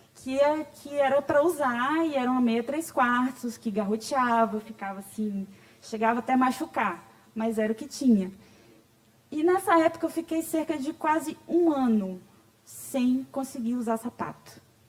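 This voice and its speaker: Over noticeable background noise, a woman speaks at a high pitch with lively intonation. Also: fairly slow pace. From Bahia, Brazil. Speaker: patient advocate, speaker. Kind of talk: conference talk. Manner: conversational.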